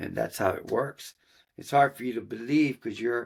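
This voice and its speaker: Very clean recording, silent background, and a man talking at a moderate pace. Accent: American. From Austin, Texas. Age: 60s. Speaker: horse trainer and musician. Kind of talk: interview. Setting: studio.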